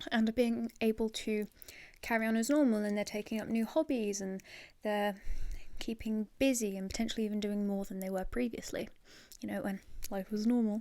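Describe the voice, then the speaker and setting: Soft-spoken and relaxed, a woman talks at a moderate pace with a fairly high pitch. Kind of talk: asmr ramble to camera. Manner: soft-spoken, relaxed.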